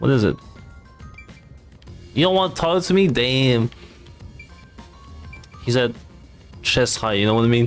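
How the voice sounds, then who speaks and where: Music plays in the background as the speaker talks at a moderate pace with lively intonation, very even loudness, and long, frequent pauses. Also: man, medium pitch for a man. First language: not English. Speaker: VTuber streamer. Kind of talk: casual let's play commentary.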